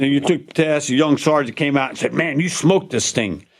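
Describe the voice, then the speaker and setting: Vocal fry runs through this man's fairly high-pitched voice. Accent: Louisiana. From Louisiana. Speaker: war veteran. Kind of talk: casual chat.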